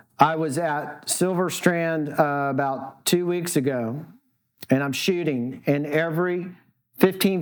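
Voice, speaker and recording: This man's voice sits at a fairly high pitch. His intonation stays fairly even. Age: 60s. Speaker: surf photographer. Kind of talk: talk to an audience, storytelling. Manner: halting, many false starts.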